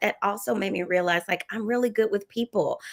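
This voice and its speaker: A woman speaks with a Southern US accent. The sound is dry and close with no echo. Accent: Southern US, lasting. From US South. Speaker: educator and non-profit leader. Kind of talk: interview conversation. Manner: bubbly, cheerful.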